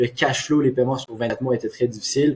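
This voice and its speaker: A man speaks in a monotone with flat intonation. His voice is somewhat breathy. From Quebec. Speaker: marketing agency owner. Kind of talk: case study presentation. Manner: hesitant with frequent fillers.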